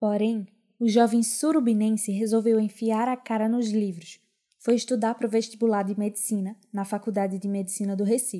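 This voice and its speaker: At a moderate pace, a woman speaks in a fairly high pitch with a dark, mellow tone and flat, monotone intonation. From Pernambuco agreste, Brazil. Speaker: podcast host. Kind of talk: scripted narration.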